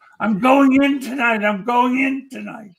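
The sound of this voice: A man puts on a nasal character voice at an extremely high pitch. He keeps a moderate pace.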